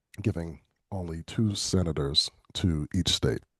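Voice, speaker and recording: A man's very deep, low, somewhat breathy voice with an American accent and ordinary pitch variation, dry and close with no echo over a quiet background. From Philadelphia, US. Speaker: political candidate. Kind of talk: virtual town hall. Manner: halting, many fillers and repetitions.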